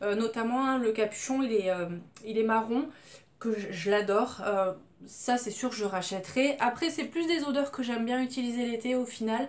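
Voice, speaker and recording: Ordinary pitch variation comes with a moderate speaking pace. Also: woman. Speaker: beauty vlogger. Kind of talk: casual product review. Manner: loud.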